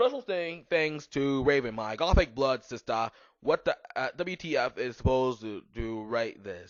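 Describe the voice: The text is read aloud plainly. Its intonation rises and falls in a lively way.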